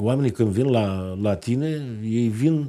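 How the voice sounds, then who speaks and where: Here a man speaks with a dark, mellow tone and ordinary pitch variation. The background is quiet. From Romania, Moldavia region (Bacău county); Moldavia, Romania. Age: 50s. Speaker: politician, member of parliament; politician. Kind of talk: TV interview. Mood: earnest, persuasive. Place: studio.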